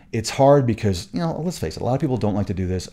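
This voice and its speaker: In a very clean recording with a silent background, a man speaks in a dark, mellow tone. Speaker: podcast host. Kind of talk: solo podcast talk. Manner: fast; halting, many restarts.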